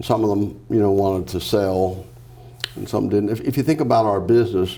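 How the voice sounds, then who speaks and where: A man speaks at a fairly quick pace with a fairly low pitch and a dark, mellow tone. Room echo is audible. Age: 70s. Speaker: business founder and executive. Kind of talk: interview. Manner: hesitant, many fillers.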